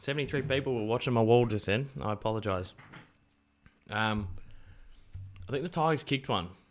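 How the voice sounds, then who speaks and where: Recorded very cleanly against a silent background, a man with an Australian accent talks at a fairly quick pace and medium pitch, with ordinary pitch variation and long, frequent pauses. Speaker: sports YouTuber hosting watch-along stream. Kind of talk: live watch-along commentary and chat with viewers. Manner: animated, excited.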